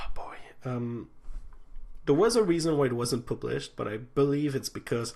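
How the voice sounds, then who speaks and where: A man of medium pitch and a dark, mellow tone speaks at a moderate pace with ordinary pitch variation. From Quebec City, Quebec. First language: French. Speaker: transit channel host. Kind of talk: livestream chat. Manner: halting, many fillers.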